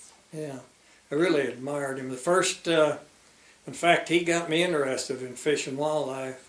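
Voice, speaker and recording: The voice has fairly even intonation but big swings in loudness, heard through audible room echo and noticeable background noise. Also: man, fairly high pitch for a man, moderate pace. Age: 90s. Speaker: retired fisheries biologist. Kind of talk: oral history interview.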